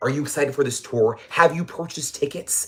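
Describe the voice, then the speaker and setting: Talking at a fairly quick pace, a man with an American accent uses a fairly high pitch and some vocal fry. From New Mexico, US. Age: 20s. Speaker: YouTuber, pop culture commentator. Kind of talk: casual livestream commentary. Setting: livestream. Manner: animated.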